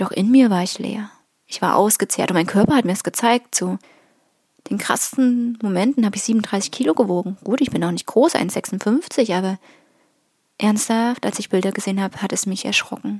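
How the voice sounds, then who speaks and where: A woman with a medium pitch has a somewhat breathy voice. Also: ordinary pitch variation, moderate pace. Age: 30s. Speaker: spiritual podcaster. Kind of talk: personal monologue.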